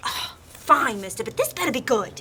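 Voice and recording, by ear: A woman puts on a high-pitched character voice with big pitch swings and a bright, sharp tone, speaking at a moderate pace.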